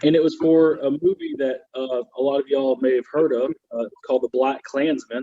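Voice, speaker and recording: A man with a Southern US accent speaks at a fairly high pitch and a moderate pace, with hardly any pauses. His intonation is fairly even. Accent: Southern American. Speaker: comedian. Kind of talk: stand-up comedy.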